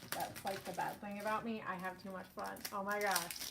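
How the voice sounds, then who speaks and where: Against noticeable background noise, a woman with a fairly high pitch and an American accent speaks in an animated tone at a fairly slow pace. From US East Coast. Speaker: scrapbooking YouTuber. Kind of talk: casual live-stream chat while crafting. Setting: live stream at home craft desk. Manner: loud; chatty, animated.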